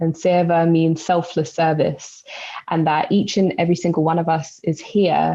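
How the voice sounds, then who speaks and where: In a London accent, a woman speaks at a moderate pace and a fairly low pitch. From East London. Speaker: spoken word poet and educator. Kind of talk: podcast interview answer.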